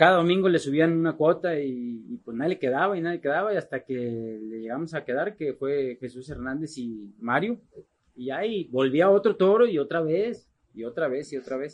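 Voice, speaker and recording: A man speaks at a moderate pace in a normal speaking voice. His pitch sits fairly high, and his intonation is lively. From Mexico, Guadalajara, Jalisco. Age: 40s. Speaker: charro rider. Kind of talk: casual interview. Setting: in person, Monterrey.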